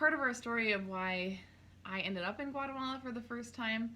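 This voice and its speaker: Bright, sharp woman's voice with an American accent, fairly quick pace, ordinary pitch variation and audible room echo. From North Dakota, small town. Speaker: clothing stylist, small business owner. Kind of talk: casual chat.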